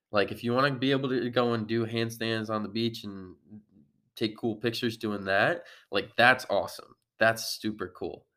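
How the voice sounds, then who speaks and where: A man speaks in an unremarkable speaking voice at a moderate pace, with fairly even intonation. The recording is very clean, with a silent background. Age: 20s. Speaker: fitness coach and podcast host. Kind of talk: solo podcast monologue. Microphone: real microphone, better audio.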